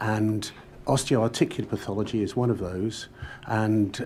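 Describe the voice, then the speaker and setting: At a moderate pace, a man with a fairly low pitch speaks in a dark, mellow tone with fairly even intonation. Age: 70s. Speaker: medical expert witness. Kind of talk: witness testimony. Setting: public inquiry hearing. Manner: hesitant, many fillers.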